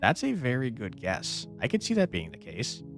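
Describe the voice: A man speaks at a fairly slow pace and a fairly low pitch, with vocal fry and very wide pitch swings. Faint music plays in the background.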